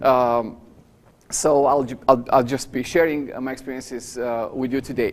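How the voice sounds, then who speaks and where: A man with a Romanian accent speaks at a medium pitch in a monotone, flat delivery. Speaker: professor. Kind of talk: lecture. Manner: fast.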